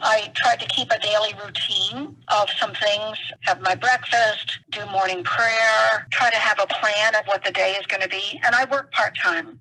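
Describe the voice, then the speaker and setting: Fairly slow female speech, fairly high in pitch with ordinary pitch variation and hardly any pauses, against noticeable background noise. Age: 60s. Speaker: retired rehab counselor, blind interviewee. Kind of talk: interview.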